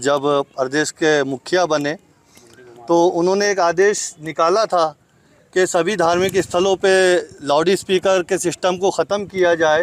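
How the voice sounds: A man's high-pitched voice, fairly slow, with fairly even intonation.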